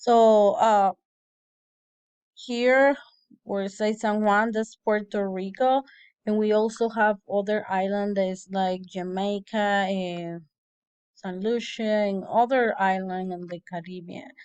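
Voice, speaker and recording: In a quiet background, a woman with a Spanish accent speaks very slowly at a medium pitch with fairly even intonation. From Dominican Republic. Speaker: language student. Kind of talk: class presentation. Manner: halting.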